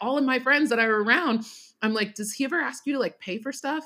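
A woman's animated voice at a fairly quick pace. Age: 30s. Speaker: small business founder and social media creator. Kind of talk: casual chat.

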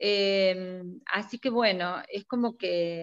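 Delivered at a very slow pace, the voice has ordinary pitch variation and a dry, close sound with no echo. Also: woman. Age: 50s. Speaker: retired chemistry teacher and school principal. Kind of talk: casual interview.

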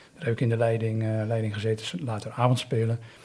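A man speaks at a medium pitch. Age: 50s. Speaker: volunteer youth mentor. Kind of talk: interview. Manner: halting.

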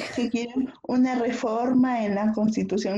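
A woman's high-pitched, dark, mellow tone at a fairly slow pace. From Peru. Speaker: podcast co-host. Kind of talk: casual chat.

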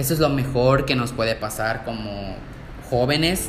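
Noticeable background noise and audible room echo surround a man's voice. He speaks at a fairly slow pace with medium pitch. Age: 20s. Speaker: podcaster, nursing student. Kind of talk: casual monologue.

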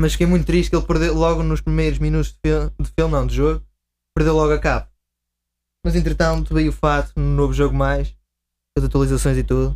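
Fairly quick delivery broken by long, frequent pauses, somewhat breathy, with a monotone, flat intonation. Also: man, very deep, low pitch for a man, very even loudness. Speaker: video game fan guest. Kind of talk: casual chat.

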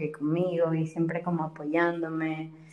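A woman speaks with a fairly low pitch. There is noticeable background noise. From Ecuador. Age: 20s. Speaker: biology student. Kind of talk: casual interview chat.

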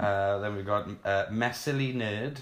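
A man talks with a fairly low pitch. His voice is somewhat breathy. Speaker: podcast co-host. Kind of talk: casual interview chat.

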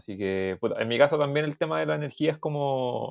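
A man is speaking. He has a Chilean accent. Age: 20s. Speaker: podcast host. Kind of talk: casual chat.

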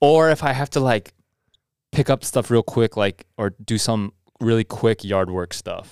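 A man with a plain, everyday voice speaks at a medium pitch and a fairly slow pace, with ordinary pitch variation. The sound is dry and close with no echo, and the recording is very clean with a silent background. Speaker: podcast host. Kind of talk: casual podcast chat.

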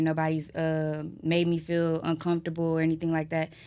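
A woman with an American accent and an ordinary speaking voice talks at a fairly quick pace in a fairly low pitch. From Houston, Texas. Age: 20s. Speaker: video model. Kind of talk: casual chat.

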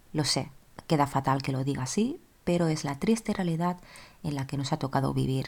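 This woman talks at a fairly quick pace in a very deep, low voice. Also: ordinary pitch variation. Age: 20s. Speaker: podcast host. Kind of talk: solo personal monologue.

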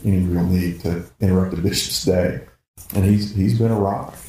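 With a Southern US accent, a man speaks at a moderate pace in a somewhat breathy, dark, mellow voice with monotone, flat intonation and audible room echo. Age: 50s. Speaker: pastor. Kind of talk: casual chat.

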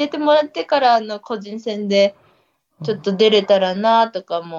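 With a plain, everyday voice, a woman speaks at medium pitch and a moderate pace, her intonation lively and her loudness swinging widely, in a dry, close sound with no echo. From Niigata, Ojiya. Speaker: trail runner. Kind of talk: casual chat.

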